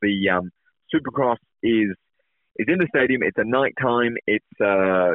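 A man speaks at a moderate pace in an English accent. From England. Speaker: professional motocross rider. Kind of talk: interview. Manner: halting, repeats words.

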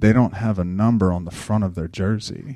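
Soft-spoken and fairly low in pitch, a man talks at a moderate pace with fairly even intonation. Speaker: youth basketball coach. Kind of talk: casual talk with faith reflection.

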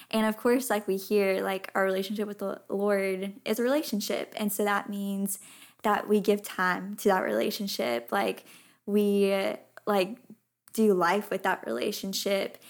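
Here is a woman with an ordinary speaking voice, medium in pitch with ordinary variation. She speaks at a fairly slow pace on a very clean recording with a silent background. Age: 20s. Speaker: fashion model and podcaster. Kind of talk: casual interview chat.

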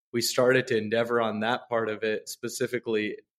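The speaker talks at a fairly quick clip in a flat monotone, with a dry, close sound and no echo. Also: man. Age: 30s. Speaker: meditation studio co-founder. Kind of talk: casual chat.

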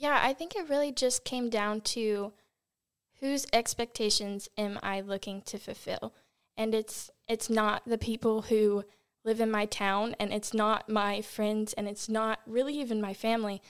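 In an American accent, a normal speaking voice moves at a fairly slow pace with fairly even intonation, captured on a very clean recording with a silent background. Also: woman, fairly high pitch for a woman. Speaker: ministry intern. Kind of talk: podcast discussion.

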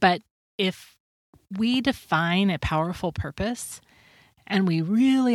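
With lively intonation and an American accent, a woman speaks on a very clean recording with a silent background. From US Pacific Northwest, Washington. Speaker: life coach and podcast host. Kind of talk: podcast monologue.

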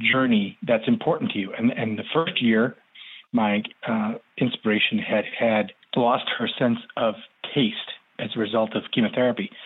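A man speaks in a plain, everyday voice at a moderate pace. His pitch shows ordinary variation. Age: 40s. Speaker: painter and cancer survivor. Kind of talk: casual interview.

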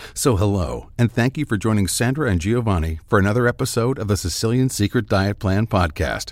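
A man in an ordinary speaking voice, fairly low-pitched, talks with lively intonation and hardly any pauses. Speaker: podcast announcer. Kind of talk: scripted narration.

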